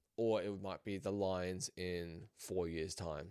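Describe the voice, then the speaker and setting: The audio is very clean, with total silence behind it. A man talks in an Australian accent. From Australia, raised in a New Zealand family. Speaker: sports podcaster. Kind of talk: casual sports commentary podcast.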